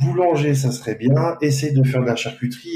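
A man speaks at a moderate pace with a medium pitch, a somewhat breathy quality and a dark, mellow tone. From France. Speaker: pastry chef. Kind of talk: interview. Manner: hesitant. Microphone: poor sound quality.

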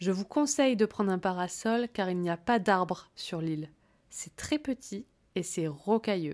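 A woman's ordinary speaking voice at medium pitch, fairly slow with lively intonation, on a very clean recording with a silent background. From Corsica. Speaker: French teacher and podcast host. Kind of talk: language-learning podcast monologue. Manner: clear, paced for learners.

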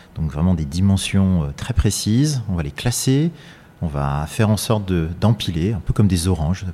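Noticeable background noise sits behind a man with a very deep, low pitch. He talks at a moderate pace with lively intonation. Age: 40s. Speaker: architect-engineer, company president. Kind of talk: interview. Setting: factory workshop.

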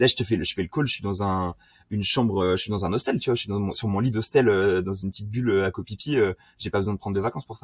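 On a very clean recording with a silent background and a dry, close sound without echo, a man talks very fast in a somewhat breathy, fairly low voice with ordinary pitch variation. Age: 20s. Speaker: SEO specialist. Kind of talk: casual interview.

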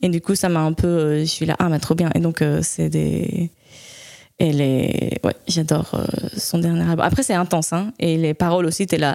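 Her dark, mellow tone sits at a fairly low pitch as the woman speaks at a fairly slow pace, with very even loudness and fairly even intonation. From Spain. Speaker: jazz saxophonist. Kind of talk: interview. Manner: halting.

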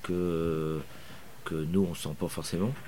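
A man talks at a very slow pace in a very deep, low pitch. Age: 60s. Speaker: motorcycle racing team manager. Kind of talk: interview. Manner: hesitant with frequent fillers.

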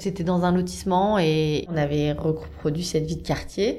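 A dark, mellow tone with fairly even intonation and audible room echo. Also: woman. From central France, Blois. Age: 30s. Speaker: communications worker. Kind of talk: personal testimony. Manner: casual with frequent hesitations.

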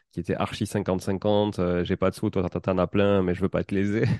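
A man with a Toulouse accent speaks at a fairly slow pace in a very deep, low pitch with a dark, mellow tone. His intonation is monotone and flat against a quiet background. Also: dry, close sound with no echo. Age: 30s. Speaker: podcast host and property investor. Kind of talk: casual interview.

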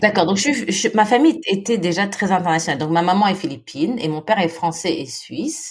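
With hardly any pauses and a fairly quick pace, a woman of medium pitch makes very wide pitch swings over noticeable background noise. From Philippines. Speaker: women's NGO founder. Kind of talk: interview. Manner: halting, many repetitions.

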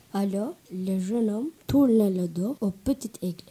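A man at a very slow pace. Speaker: storyteller, French learner. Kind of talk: storytelling, reading a tale aloud. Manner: halting, careful, uneven pacing; steady narration, growing fluency.

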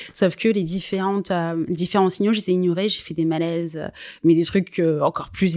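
In a very clean recording with a silent background, a woman with a fairly low pitch talks at a moderate pace with fairly even intonation. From Guadeloupe. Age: 20s. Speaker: digital marketing agency founder. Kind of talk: interview. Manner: hesitant, many fillers.

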